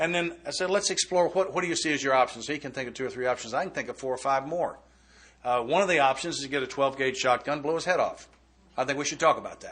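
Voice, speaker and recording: Very fast talk from a man with a fairly high pitch and ordinary pitch variation. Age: 60s. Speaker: AA speaker. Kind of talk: recovery talk.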